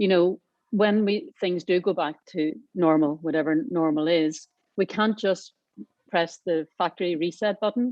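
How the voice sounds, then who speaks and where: A woman with a Northern Irish accent, a fairly low pitch, ordinary pitch variation, very even loudness and a fairly slow pace. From Northern Ireland. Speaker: aviation industry panelist. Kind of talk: panel discussion.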